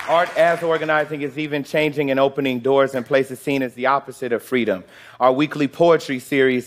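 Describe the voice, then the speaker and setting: With an American accent, a man speaks at medium pitch and a fairly quick pace in an ordinary speaking voice. His intonation is fairly even, and the recording is very clean with a silent background. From US Midwest, Chicago. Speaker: organizer. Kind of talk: scripted talk on stage.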